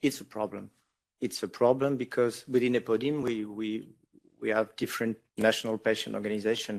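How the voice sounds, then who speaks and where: In a very clean recording with a silent background, a man with a French accent speaks at medium pitch with fairly even intonation. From France. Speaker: patient advocate. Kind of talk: panel discussion. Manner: halting, many repetitions.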